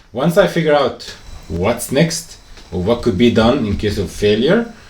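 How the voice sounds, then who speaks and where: Over noticeable background noise, a man talks at a moderate pace, his pitch swinging very widely. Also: medium pitch for a man. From Egypt. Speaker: businessman and traveler. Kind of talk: casual chat. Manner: clear.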